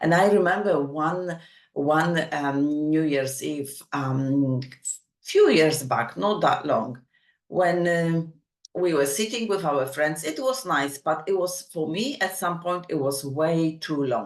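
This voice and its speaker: Very slow speech from a woman, very deep and low in pitch, with ordinary pitch variation. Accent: non-native. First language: not English. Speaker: summit host and speaker. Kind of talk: motivational talk. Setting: online summit.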